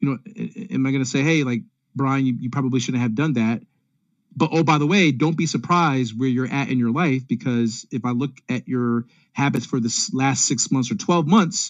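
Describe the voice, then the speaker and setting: He has an ordinary speaking voice at a medium pitch, with ordinary pitch variation. The man talks at a fairly quick pace. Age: 40s. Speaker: consultant and speaker. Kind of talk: virtual presentation. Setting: video call.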